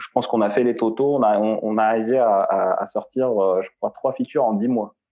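The speaker is a man with a medium pitch. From Algeria. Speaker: UX design director. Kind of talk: interview. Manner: halting, frequent repetitions.

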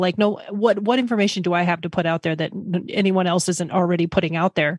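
A woman uses a normal speaking voice at medium pitch and a fairly quick pace. The sound is dry and close with no echo, and the recording is very clean with a silent background. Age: 40s. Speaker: finance professional changing careers. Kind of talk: interview.

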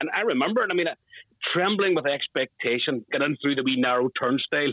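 A man speaks very fast with a Northern Irish accent. His pitch is fairly high, with ordinary variation. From Northern Ireland. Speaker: football fan, flag maker. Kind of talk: interview.

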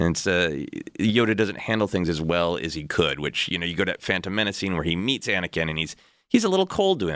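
A very fast man's voice with a very deep, low pitch and ordinary pitch variation, in a very clean recording with a silent background. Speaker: comedian and writer. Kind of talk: casual chat.

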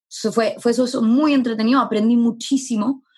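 A somewhat breathy woman at a very fast pace. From Chile. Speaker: startup founder. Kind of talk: interview.

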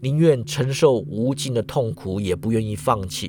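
A man of medium pitch talks in an animated, dramatic tone. His pitch swings very widely. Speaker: podcast host. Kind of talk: mythic storytelling narration. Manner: animated, dramatic storyteller; uses sentence-final particles, casual tone.

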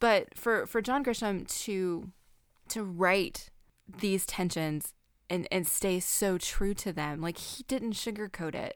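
A woman with a Southern US accent talks at a very slow pace in a medium pitch. Her pitch variation is ordinary, and the recording is very clean with a silent background. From US South. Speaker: podcast host. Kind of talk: casual chat.

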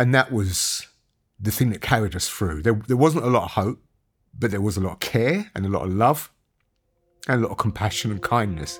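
On a very clean recording with a silent background, a man with a fairly low pitch speaks at a fairly quick pace with lively intonation and long, frequent pauses. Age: 50s. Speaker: documentary presenter. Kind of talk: documentary narration and interview.

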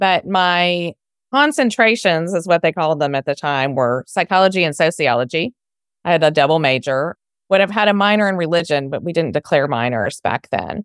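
A woman with an American accent has a plain, everyday voice at a fairly low pitch. She talks at a fairly quick pace with lively intonation, in a dry, close sound with no echo. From Texas, Houston. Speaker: software founder and former speech pathologist. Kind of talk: interview.

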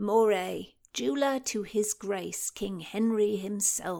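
A woman's put-on character voice at medium pitch, fairly slow, with ordinary pitch variation, on a very clean recording with a silent background. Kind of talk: period Tudor speech. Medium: read story. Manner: musing, digressive.

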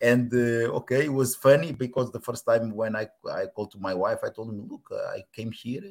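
A man with a Portuguese accent, hardly any pauses. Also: moderate pace, big swings in loudness. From Portugal. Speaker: former footballer. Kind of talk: casual interview. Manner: halting, repeats words.

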